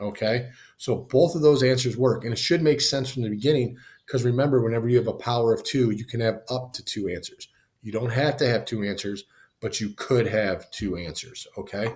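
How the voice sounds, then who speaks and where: A somewhat breathy voice at a fairly quick pace. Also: man, medium pitch for a man, ordinary pitch variation. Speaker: math teacher. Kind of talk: tutorial. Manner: casual; fast.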